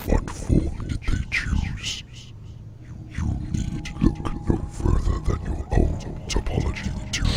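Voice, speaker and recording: Putting on a character voice, a man speaks at a fairly slow pace in a very deep, low pitch. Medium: audio drama. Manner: slow, philosophical, condescending.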